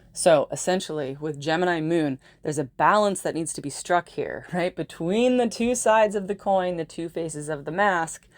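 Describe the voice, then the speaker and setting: A woman with a fairly low pitch and ordinary pitch variation, hardly any pauses, in a very clean recording with a silent background. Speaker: astrologer. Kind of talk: monologue video. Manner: fast; animated.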